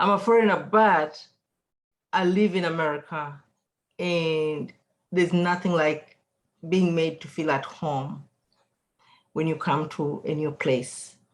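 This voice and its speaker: With a non-native accent, a woman speaks fairly slowly at a fairly low pitch, her intonation fairly even and broken by long, frequent pauses. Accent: foreign accent, noticeable. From outside the US. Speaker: patient, cancer survivor. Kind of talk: testimony. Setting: video call.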